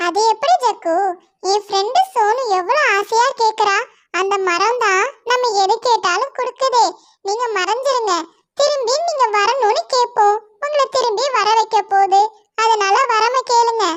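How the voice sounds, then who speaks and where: In a cartoonish character voice, a woman speaks fairly slowly at an extremely high pitch, her loudness very even. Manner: lively, eager.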